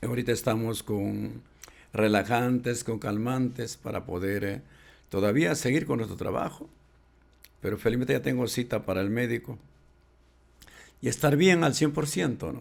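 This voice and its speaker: Speaking at a moderate pace with long, frequent pauses, a man uses a medium pitch with vocal fry and ordinary pitch variation. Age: 70s. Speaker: folk singer and composer. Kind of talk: podcast interview. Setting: podcast studio.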